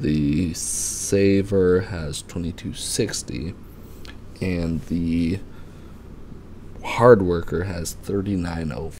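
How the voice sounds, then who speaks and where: A quiet man's very deep, low voice at a very slow pace, with long, frequent pauses, big swings in loudness, ordinary pitch variation and noticeable background noise. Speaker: father. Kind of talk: casual finance explainer. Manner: quiet, low voice.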